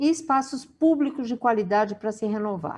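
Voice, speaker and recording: In an unremarkable speaking voice, a woman talks at a moderate pace with a fairly high pitch and lively intonation. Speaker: webinar moderator. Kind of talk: reading aloud; event moderation.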